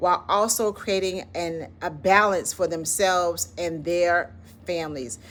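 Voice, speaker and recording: A woman's bright, sharp tone in a Southern accent, fairly slow, with ordinary pitch variation. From US South, Florida. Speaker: educator and channel founder. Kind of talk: motivational talk to camera. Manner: conversational, informal.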